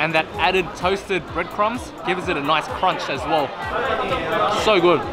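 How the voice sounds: A man speaks at a fairly slow pace, his pitch fairly high with ordinary variation. Clear music and clear crowd noise sit in the background.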